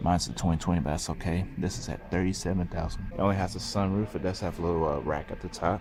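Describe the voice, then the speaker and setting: Quiet and very fast, a man speaks with a very deep, low pitch and vocal fry. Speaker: car reviewer. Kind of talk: casual vlog review. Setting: car showroom. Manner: quiet, low voice.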